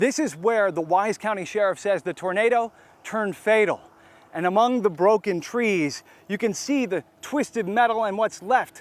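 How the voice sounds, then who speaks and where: Pitch variation is ordinary. The delivery moves at a moderate pace. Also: man. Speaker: TV news reporter. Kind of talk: breaking news live report. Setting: outdoors.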